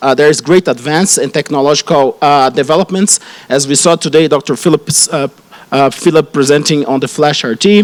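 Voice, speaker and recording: A man talks at a fairly quick pace with a Brazilian Portuguese accent, his voice fairly high with ordinary pitch variation. The sound is dry and close, with no echo. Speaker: radiation oncologist. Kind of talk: conference talk. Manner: halting, many fillers and restarts.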